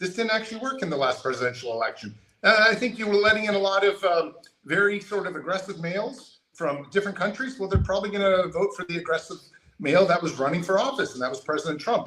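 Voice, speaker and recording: The speaker talks at a very fast pace in a raised, projected voice with an American accent. Their intonation is lively. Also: man, high pitch for a man. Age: 50s. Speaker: political candidate. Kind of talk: interview.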